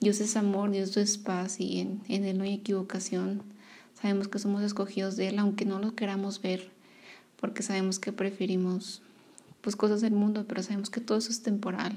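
A woman's somewhat breathy voice at medium pitch, dark and mellow in tone, with monotone, flat intonation and a moderate pace. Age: 20s. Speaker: podcaster sharing faith testimony. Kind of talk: personal testimony. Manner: halting, many fillers.

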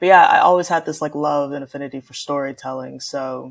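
Fairly quick delivery with vocal fry. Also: woman. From Houston, Texas. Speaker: film student and artist. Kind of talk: interview.

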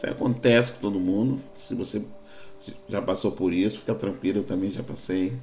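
A man's fairly low voice at a fairly quick pace, with ordinary pitch variation, audible room echo and music in the background. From Rio de Janeiro, Brazil. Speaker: pastor. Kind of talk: sermon-style podcast monologue.

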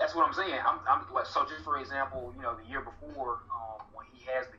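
Noticeable background noise accompanies a man talking in a Southern US accent. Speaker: guest, political organizer. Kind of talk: casual interview conversation.

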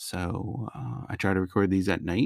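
Speaking in an American accent at a fairly slow pace, a man with a very deep, low pitch sounds relaxed, the sound dry and close with no echo. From US Northeast, Connecticut (Naugatuck Valley). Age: 30s. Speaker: solo podcaster. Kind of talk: casual monologue. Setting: home recording at night. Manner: relaxed, conversational with laughter.

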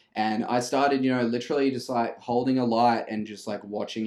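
In a flat monotone, a man talks with an Australian accent. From Brisbane, Australia. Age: 20s. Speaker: videographer and music producer. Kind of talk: casual chat.

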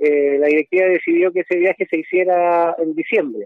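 A man's high-pitched voice at a moderate pace. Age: 70s. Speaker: football coach. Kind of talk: phone interview.

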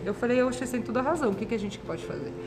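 There is noticeable background noise and audible room echo as a woman speaks at a fairly high pitch with ordinary pitch variation. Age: 30s. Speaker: nurse. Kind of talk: interview.

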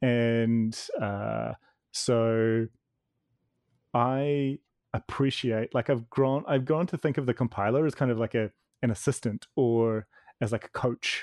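In a New Zealand accent, a man speaks very slowly with long, frequent pauses. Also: medium pitch for a man, dry, close sound with no echo. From New Zealand (Wellington). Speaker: author. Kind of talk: casual chat.

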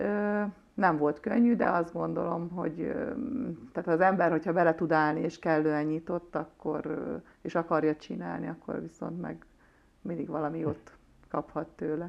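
Fairly even intonation comes with long, frequent pauses. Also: woman, fairly low pitch for a woman. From Hungary, Nagykanizsa. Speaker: former handball player. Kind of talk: interview.

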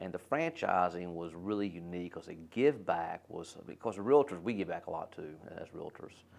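An American accent, a normal speaking voice, moderate speed and lively intonation. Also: man. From North Carolina, Winston-Salem. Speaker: restaurant franchise executive. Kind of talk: casual interview.

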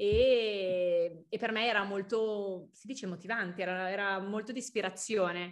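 Against a silent background in a very clean recording, a woman with a normal speaking voice talks with ordinary pitch variation. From Milan, northern Italy. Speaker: young entrepreneur, fashion founder. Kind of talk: casual interview. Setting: podcast.

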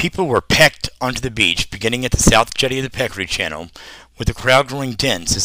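Plain reading aloud of a text

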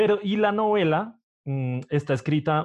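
The man's pitch moves with ordinary variation. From Colombia, Bogotá. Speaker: podcast host. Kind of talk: interview.

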